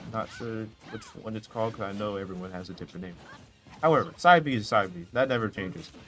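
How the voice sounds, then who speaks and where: A man talks at a very fast pace in a fairly low pitch, his intonation lively and his loudness swinging widely, with music in the background. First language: not English. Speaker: esports commentator. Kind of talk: live commentary. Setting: streaming from a noisy shared room. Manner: animated.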